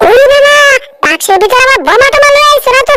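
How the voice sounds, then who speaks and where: In a squeaky, cartoonish character voice, a woman talks at a fairly quick pace with an extremely high pitch. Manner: whiny, fearful.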